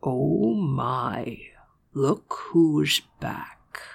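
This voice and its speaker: A man puts on a character voice. It is husky and growling. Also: medium pitch for a man. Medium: read story. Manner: smug, suggestive.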